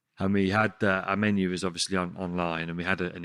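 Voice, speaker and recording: A man with a Birmingham accent talks at a very fast pace in a very deep, low pitch with a bright, sharp tone and monotone, flat intonation, on a very clean recording with a silent background. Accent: Birmingham (Brummie). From Sutton Coldfield, Birmingham area, England. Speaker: chef and restaurant owner. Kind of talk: casual chat.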